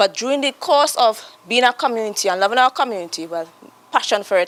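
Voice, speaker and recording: Lively intonation in a dry, close sound with no echo. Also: woman, fairly high pitch for a woman. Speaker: community group representative. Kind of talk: panel discussion remarks. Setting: workshop panel with audience. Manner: fast; rambling, halting.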